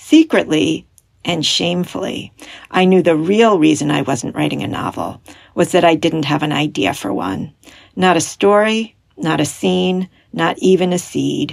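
Lively intonation marks this woman's fairly low voice. Vocal fry runs through her speech. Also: fairly slow pace. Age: 50s. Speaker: writer and former English professor. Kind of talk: reading aloud.

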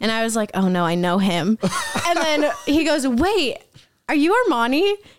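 A woman speaks at a moderate pace with very wide pitch swings. Her loudness stays very even. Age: 20s. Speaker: childhood friend of the hosts. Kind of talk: casual chat.

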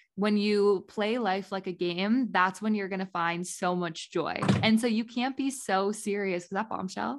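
A plain, everyday voice with an American accent moves at a fairly slow pace. There are hardly any pauses, and the pitch variation is ordinary. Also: woman, medium pitch for a woman. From US Midwest, Indiana. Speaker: podcast co-host. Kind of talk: casual chat.

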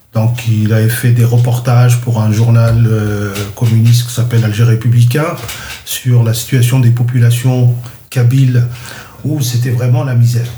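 Over noticeable background noise and audible room echo, a man of medium pitch speaks at a fairly slow pace in a monotone, flat intonation with long, frequent pauses. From Algeria, Kabylie. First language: Kabyle (speaking French). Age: 60s. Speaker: interviewee recounting his childhood. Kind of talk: personal life story interview. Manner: halting, many hesitations.

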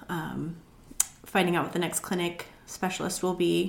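A woman speaks at a moderate pace with a fairly low pitch, vocal fry and an American accent. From Montana, US. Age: 40s. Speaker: juice business owner, former school counselor. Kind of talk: interview.

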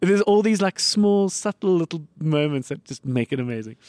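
With a South African accent, a man speaks at a moderate pace and with lively intonation, the sound dry and close with no echo. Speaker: podcast host. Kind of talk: casual chat.

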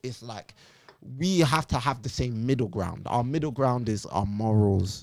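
On a very clean recording with a silent background, a man talks in a London accent. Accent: London multicultural English. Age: 20s. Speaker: poet and music critic. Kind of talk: casual chat. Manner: animated.

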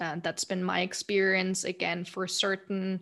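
In a German accent, a woman talks against a quiet background. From Germany, Munich. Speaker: account director and podcast host. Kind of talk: interview.

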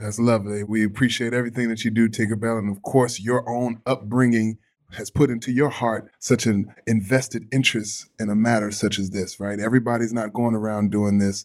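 On a very clean recording with a silent background, a man at a medium pitch talks at a fairly quick pace with hardly any pauses. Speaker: former pro football player, charity staff. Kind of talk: casual chat. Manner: upbeat, animated.

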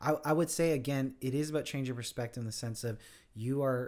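A man talks at a fairly quick pace in a normal speaking voice. The recording is very clean, with a silent background. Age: 30s. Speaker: pastor. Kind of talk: casual chat.

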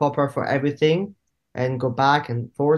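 In a French accent, a man with a fairly high pitch speaks using fairly even intonation. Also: quiet background. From southern France, small town. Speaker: actor and filmmaker. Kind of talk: casual interview chat. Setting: video call.

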